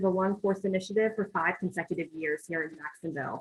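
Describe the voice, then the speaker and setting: This woman talks at a fairly quick pace in a medium pitch with ordinary variation. Her voice is somewhat breathy. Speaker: nonprofit representative. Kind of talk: presentation at a meeting. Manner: fast.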